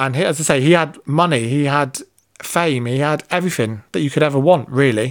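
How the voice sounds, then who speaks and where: A man with a British accent speaks at a fairly quick pace, his pitch fairly high for a man. His pitch varies in an ordinary way, and the recording is very clean with a silent background. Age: 30s. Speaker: podcast host. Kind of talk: monologue.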